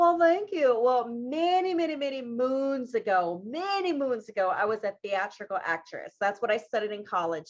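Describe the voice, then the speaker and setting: A woman speaks in an American accent at a fairly high pitch with very wide pitch swings. She hardly pauses at all. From US South, South Carolina (Marion). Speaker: winemaker. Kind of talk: casual chat.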